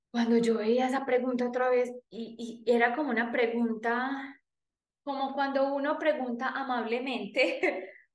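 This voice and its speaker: In a paisa Colombian accent, a woman speaks very slowly at a high pitch with fairly even intonation, and room echo is audible. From Colombia, Antioquia (paisa). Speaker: podcast host and life coach. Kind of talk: personal storytelling monologue.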